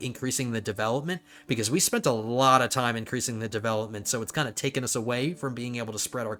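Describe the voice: Intonation holds fairly even. The text is read aloud plainly.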